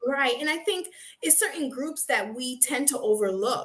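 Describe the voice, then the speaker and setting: Loud speech from a woman at a moderate pace. Her pitch varies in an ordinary way. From Haiti. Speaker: nurse and sickle cell patient advocate. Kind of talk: interview.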